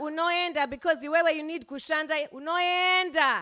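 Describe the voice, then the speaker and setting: A Zimbabwean accent at a moderate pace. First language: Shona. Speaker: poet. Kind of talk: poetry performance. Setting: stage with audience. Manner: call-and-response with audience.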